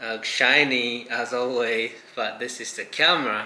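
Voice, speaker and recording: A man speaks at a medium pitch with a Japanese accent. The room echo is audible, and background noise is noticeable. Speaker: vlogger and fashion designer. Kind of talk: casual vlog chat.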